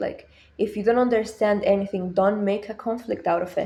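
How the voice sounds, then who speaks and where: A woman speaks at a medium pitch in a dark, mellow tone with fairly even intonation. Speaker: education YouTuber. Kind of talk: casual talk to camera. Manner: slow; halting, many repeated words.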